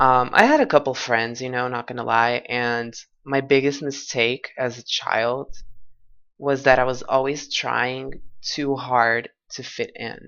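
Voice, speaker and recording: The speaker has a Portuguese accent and talks at a fairly slow pace. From Portugal. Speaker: vlogger. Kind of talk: personal testimony. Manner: halting.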